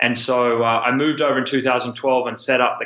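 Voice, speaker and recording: Over noticeable background noise, a man with an Australian accent speaks at a fairly quick pace in a medium pitch with monotone, flat intonation. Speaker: student loan company founder. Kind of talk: interview.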